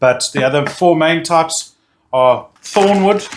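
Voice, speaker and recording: A high-pitched man with a South African accent. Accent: Afrikaans-tinged South African. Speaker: barbecue YouTuber. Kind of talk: product review tutorial. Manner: halting, repeats words; enthusiastic.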